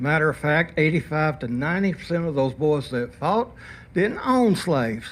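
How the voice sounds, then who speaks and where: This man's voice is fairly high in pitch with lively intonation. He keeps a moderate pace. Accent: Alabama. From Alabama, US South. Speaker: public commenter at city council meeting. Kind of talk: public comment speech. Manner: animated.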